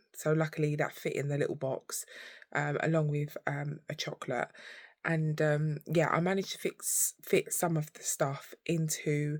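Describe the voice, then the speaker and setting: A woman speaks at a moderate pace with a very deep, low pitch and a somewhat breathy voice. Her intonation is monotone and flat, on a very clean recording with a silent background and a dry, close sound with no echo. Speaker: vlogger. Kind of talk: casual vlog chat. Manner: halting.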